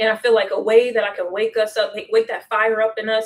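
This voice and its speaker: A woman is talking. Her pace is very fast. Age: 20s. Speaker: history educator. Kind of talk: casual chat. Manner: halting.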